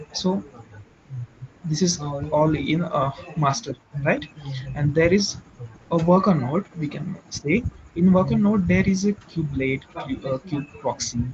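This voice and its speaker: A man with an Indian accent, fairly high pitch and ordinary pitch variation, at a fairly slow pace with long, frequent pauses and noticeable background noise. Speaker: IT trainee presenter. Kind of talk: technical explanation in group session. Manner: halting with many fillers. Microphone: too quiet.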